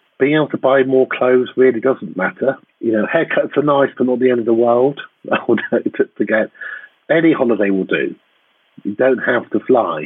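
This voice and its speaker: He talks at a moderate pace in a normal speaking voice. This man's pitch is medium, with ordinary variation. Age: 50s. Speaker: academic geographer. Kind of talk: casual interview chat. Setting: video call from home.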